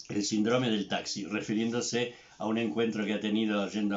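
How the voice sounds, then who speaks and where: Monotone and flat, a man with a fairly low pitch speaks at a moderate pace. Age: 70s. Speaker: psychotherapist. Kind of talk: recorded tribute address. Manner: hesitant with fillers.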